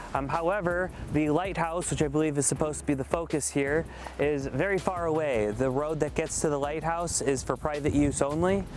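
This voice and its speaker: With an American accent, a man talks at a fairly quick pace in a fairly high pitch with ordinary pitch variation, over noticeable background noise. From United States. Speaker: travel vlogger. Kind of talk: travel vlog. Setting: outdoors.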